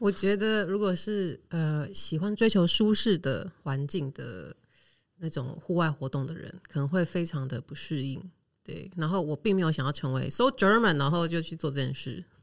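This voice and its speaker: Moderate pace on a very clean recording, the background silent. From Taiwan. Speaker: expat living in Germany. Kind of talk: interview.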